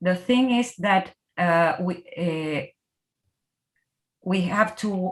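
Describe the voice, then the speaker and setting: The voice carries a Spanish accent and ordinary pitch variation. The pace is very slow. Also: woman. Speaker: researcher presenting. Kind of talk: academic Q&A. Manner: halting.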